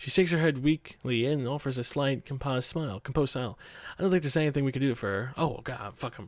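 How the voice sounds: Here a natural reading voice carries ordinary movement in pitch.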